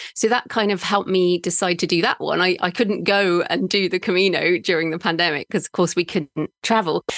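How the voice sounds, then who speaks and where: A woman's fairly low voice with an English accent, fairly quick and almost without pauses, fairly even in intonation and very even in loudness, dry and close with no echo, over a quiet background. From England. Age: middle-aged. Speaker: author and podcaster. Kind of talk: interview conversation.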